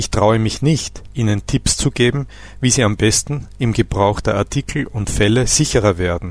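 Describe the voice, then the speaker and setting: A man talks with vocal fry at a fairly low pitch. His pitch varies in an ordinary way. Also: moderate pace. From Austria. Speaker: language teacher. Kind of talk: scripted narration. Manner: formal.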